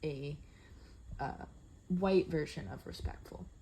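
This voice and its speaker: Somewhat breathy, a woman speaks in a dark, mellow tone. Her pitch shows ordinary variation. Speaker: student teacher. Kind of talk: reflective monologue. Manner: assertive tone; halting, many fillers.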